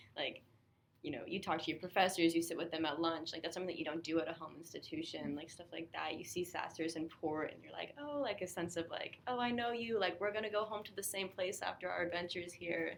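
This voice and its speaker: A woman with an American accent, talking at a very fast pace with ordinary pitch variation. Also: fairly low pitch for a woman. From California. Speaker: college student panelist. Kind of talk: casual chat. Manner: enthusiastic.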